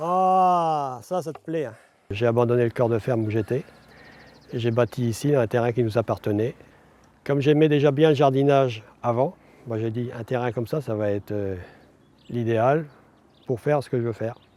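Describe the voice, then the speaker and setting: The man's voice sits at a medium pitch with a dark, mellow tone. He moves at a moderate pace, with long, frequent pauses. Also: ordinary pitch variation. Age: 60s. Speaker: retired farmer. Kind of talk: casual chat. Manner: hesitant, many fillers.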